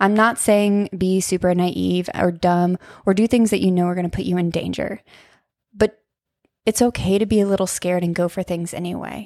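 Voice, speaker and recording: A woman with an American accent and a plain, everyday voice, medium in pitch, at a moderate pace with fairly even intonation, on a very clean recording with a silent background. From US Midwest, Ohio. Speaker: podcast host, wellness coach. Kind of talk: personal storytelling monologue. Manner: casual, laughs often.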